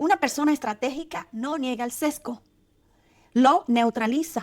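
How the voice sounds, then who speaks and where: Dry and close with no echo, a woman's high-pitched voice moves at a fairly slow pace with lively intonation. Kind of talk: motivational advice talk to camera.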